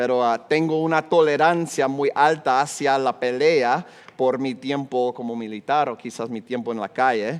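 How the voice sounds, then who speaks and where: Speaking at a fairly slow pace, a man with an American accent holds a medium pitch with ordinary pitch variation. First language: English (speaking Spanish). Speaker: pastor. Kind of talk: sermon.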